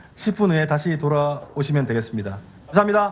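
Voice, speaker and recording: Somewhat breathy, a man talks at a fairly quick pace in a fairly high pitch with very wide pitch swings, and audible room echo surrounds him. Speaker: tech evangelist. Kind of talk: keynote presentation. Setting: stage with audience. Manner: fast.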